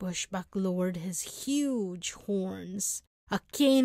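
Against a quiet background, this is an unforced reading voice.

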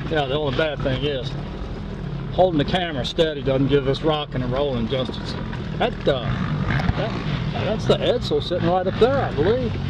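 Long, frequent pauses at a moderate pace, with a dry sound with no echo and loud background noise. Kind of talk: casual chat. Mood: relaxed, upbeat. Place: car. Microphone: phone near.

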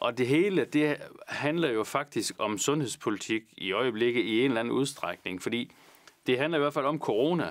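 A moderate pace against a quiet background. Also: man. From Vendsyssel, northern Jutland, Denmark; Denmark. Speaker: politician. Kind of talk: Q&A answering viewer questions. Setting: studio, alone. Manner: halting, many fillers. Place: studio. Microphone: lapel.

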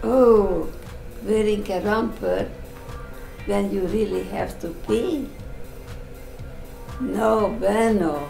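A woman at a very slow pace, with long, frequent pauses, audible room echo and faint music in the background. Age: old. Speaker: grandmother reading posts aloud. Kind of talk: reading tweets aloud. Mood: deadpan, slightly bemused. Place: home room.

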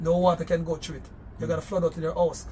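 Soft music plays faintly behind the voice. The speaker is a man. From Jamaica. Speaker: entrepreneur and religious leader; host's interview guest. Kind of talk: casual interview. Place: home room. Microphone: phone near.

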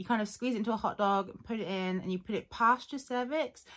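A woman at a fairly quick pace with lively intonation, against a quiet background. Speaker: vlogger. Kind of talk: casual vlog chat. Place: home room. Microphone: phone near.

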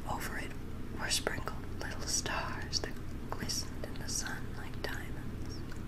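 A woman is whispering. Her pace is very slow. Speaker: ASMR reader. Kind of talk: audiobook reading. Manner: whispered; soft-spoken, slow. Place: home room. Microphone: studio mic.

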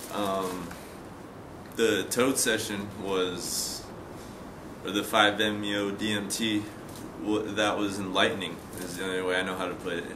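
A man speaks at a very slow pace in a fairly low, flat monotone, with long, frequent pauses and noticeable background noise. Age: 20s. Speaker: patient in addiction treatment. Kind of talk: testimony. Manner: halting, many fillers and repetitions. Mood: calm, reflective, subdued. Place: garden. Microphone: camera far.

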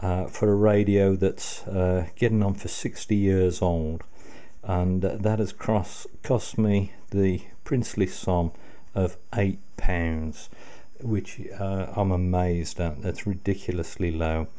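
A man speaks at a very slow pace in a very deep, low pitch. His tone is dark and mellow, with fairly even intonation. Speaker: radio restoration hobbyist. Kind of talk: casual tutorial commentary. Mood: pleased, grateful. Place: home room.

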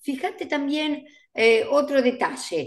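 A woman's voice over a quiet background. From Argentina. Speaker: events industry educator and co-host; events industry educator, co-host. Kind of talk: casual chat. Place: home room. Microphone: video call.

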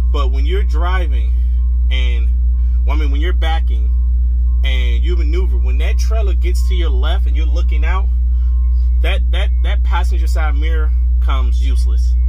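A man at a moderate pace with very even loudness, flat monotone intonation and long, frequent pauses, music in the background. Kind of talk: casual vlog chat. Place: car. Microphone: phone near.

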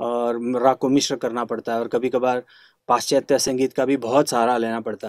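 A man talks at a moderate pace with medium pitch and monotone, flat intonation. The sound is dry with no echo over a quiet background. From Karnataka, India (Dharwad), raised partly in Hyderabad and Delhi; Karnataka. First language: Kannada (speaking Hindi). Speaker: classical flute player; interviewee. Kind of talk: interview. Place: home room.

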